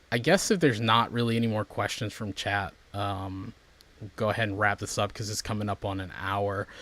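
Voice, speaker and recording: On a very clean recording with a silent background, a man speaks at a moderate pace in a bright, sharp tone and a medium pitch. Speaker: stream host. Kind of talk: casual chat. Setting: livestream.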